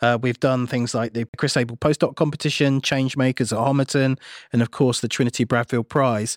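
A man with a plain, everyday voice and a fairly high pitch talks at a fairly quick pace, recorded very cleanly against a silent background with a dry, close sound and no echo. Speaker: tech podcast co-host. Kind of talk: interview.

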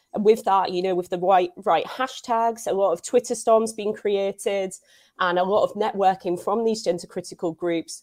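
Recorded very clean against a silent background, a woman with a Scouse accent speaks at a medium pitch and moderate pace with fairly even intonation. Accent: Scouse-tinged English. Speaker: journalist. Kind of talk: casual interview.

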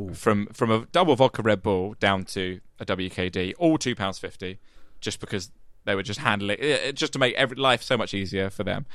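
This man speaks with a southeast English accent at a fairly quick pace. His fairly low voice carries lively intonation. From southeast England, Medway towns in Kent. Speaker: podcast and radio producer. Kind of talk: casual chat.

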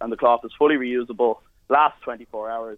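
Fairly even intonation from a man at medium pitch with an Irish accent. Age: 20s. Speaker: entrepreneur. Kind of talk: sales pitch. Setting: phone call.

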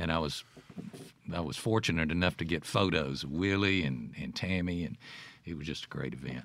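Talking at a fairly quick pace with a Mississippi accent, a man uses a very deep, low pitch with vocal fry and ordinary pitch variation. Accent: Mississippi Southern. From Jackson, Mississippi, US South. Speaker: radio host and broadcaster. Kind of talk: casual interview. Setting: studio.

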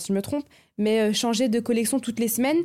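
In a very clean recording with a silent background, a woman talks at a fairly high pitch with a dark, mellow tone and ordinary pitch variation. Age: 20s. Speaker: visual artist. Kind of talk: casual chat.

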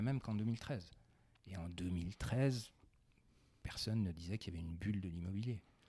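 Somewhat breathy, a man speaks with long, frequent pauses. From France, Besançon. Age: 40s. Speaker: finance executive. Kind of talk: interview. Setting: in the host's living room.

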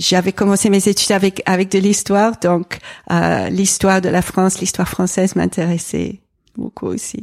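In an English accent, a woman talks at a moderate pace with a medium pitch and a flat, monotone delivery, recorded very cleanly against a silent background with a dry, close sound and no echo. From England. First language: English (speaking French). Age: 40s. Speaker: environmental association president and pastor's wife. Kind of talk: interview conversation. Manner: hesitant, frequent repetitions.

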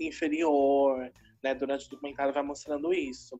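This woman has a very deep, low pitch. She speaks with a São Paulo accent. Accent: São Paulo Brazilian Portuguese. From Brazil, São Paulo city. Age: 20s. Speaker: university student and drag artist. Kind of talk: interview.

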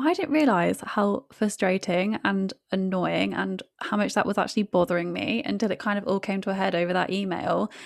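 A woman speaks at medium pitch with vocal fry and ordinary pitch variation. Her pace is moderate, with hardly any pauses. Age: 20s. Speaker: podcast co-host, law professional. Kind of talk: casual chat.

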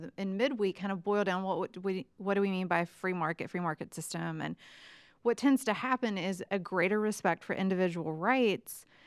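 A woman with a normal speaking voice talks at a moderate pace and medium pitch, with ordinary pitch variation. The recording is very clean with a silent background, its sound dry and close with no echo. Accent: American. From West Virginia. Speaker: economics professor. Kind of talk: casual chat.

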